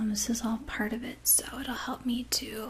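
A soft-spoken woman with a gentle tone and monotone, flat intonation. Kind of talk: role-play medical exam, soft-spoken. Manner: soft-spoken, gentle ASMR voice. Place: home room.

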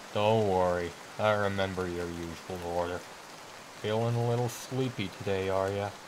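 Over clear background noise, a man puts on a character voice at a fairly low pitch and a moderate pace. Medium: read story. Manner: casual, folksy.

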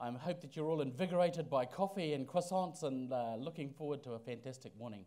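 This man has a New Zealand accent and a dark, mellow tone. He talks at a very fast pace with very wide pitch swings. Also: hardly any pauses. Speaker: Māori cultural advisor; event host at lectern. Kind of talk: ceremonial blessing and welcome. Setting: stage with audience. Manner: halting. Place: hall. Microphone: podium.

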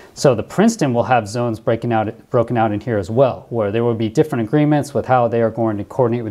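Against a quiet background, a man talks at a very fast pace with ordinary pitch variation. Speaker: former pilot commentator. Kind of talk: commentary.

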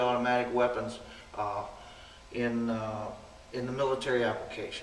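Light background noise and audible room echo accompany a man talking at a moderate pace. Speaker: firearms instructor. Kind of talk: interview answer. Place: hall.

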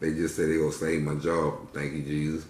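Audible room echo follows a man as he talks. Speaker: vlogger. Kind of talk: casual vlog chat while eating. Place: home room. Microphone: phone near.

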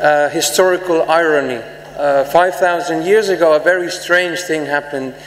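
Fairly even intonation and a moderate pace come through amid audible room echo. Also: man. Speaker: conference speaker. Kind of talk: conference speech. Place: hall. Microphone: podium.

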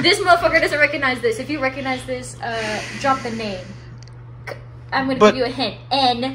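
Long, frequent pauses break up the speech over noticeable background noise. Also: woman. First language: bilingual Spanish and English. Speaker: guest on a live stream. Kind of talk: casual, Spanglish code-switching. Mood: playful, teasing. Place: home room. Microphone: phone near.

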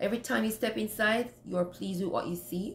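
A woman with ordinary pitch variation sounds somewhat breathy, with audible room echo and light background noise. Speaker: home cleaning vlogger. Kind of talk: casual vlog advice. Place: home room. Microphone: phone near.

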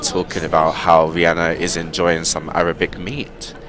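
A man speaks with a very deep, low pitch. The sound is dry with no echo, though background noise is noticeable. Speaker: vlogger. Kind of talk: casual vlog chat. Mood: annoyed, complaining. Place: bus. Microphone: earbuds.

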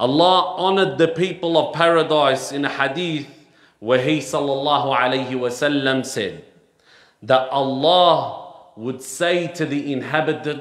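Audible room echo surrounds the voice. It moves at a moderate pace with fairly even intonation. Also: man, quiet background. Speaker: preacher. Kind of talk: sermon. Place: church. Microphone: headset.

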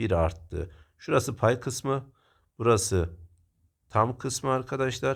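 A man talks at a very slow pace and medium pitch, somewhat breathy. His intonation is lively. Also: very clean recording, silent background. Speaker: math teacher. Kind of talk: tutorial.

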